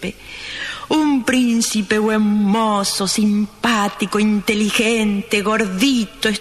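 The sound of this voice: An unforced reading voice is what the recording holds.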